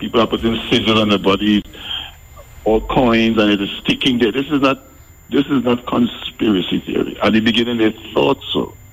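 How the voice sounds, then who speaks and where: Over noticeable background noise, a man with medium pitch speaks at a fairly quick pace, his loudness very even and his pitch varying in an ordinary way. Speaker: pastor, caller. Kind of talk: call-in argument. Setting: phone call.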